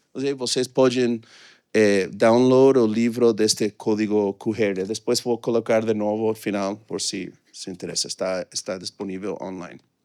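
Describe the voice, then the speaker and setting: A man with a fairly low pitch and dark, mellow tone speaks at a moderate pace with fairly even intonation, recorded very cleanly, dry and close with no echo against a silent background. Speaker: economist presenting research. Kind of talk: conference talk. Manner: halting, many fillers.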